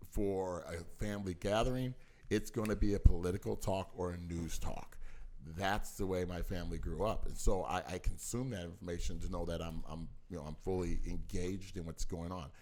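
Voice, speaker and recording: Amid audible room echo, a man with a very deep, low pitch talks at a fairly quick pace with ordinary pitch variation. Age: 50s. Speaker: parent of the podcast host. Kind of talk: casual chat.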